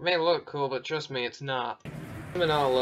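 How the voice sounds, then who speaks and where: A man's bored tone at a moderate pace, with fairly even intonation and noticeable background noise. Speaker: movie reviewer. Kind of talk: commentary over film clips. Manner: sarcastic, bored tone.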